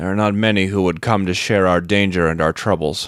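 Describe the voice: Using a put-on character voice, a man pitches very deep and low. His speech moves fairly quickly.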